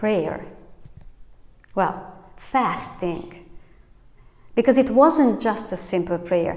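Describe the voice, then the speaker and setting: A woman speaks at a very slow pace and a medium pitch, with lively intonation. Long, frequent pauses break up her speech, and room echo is audible. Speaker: pastor. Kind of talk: sermon. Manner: halting.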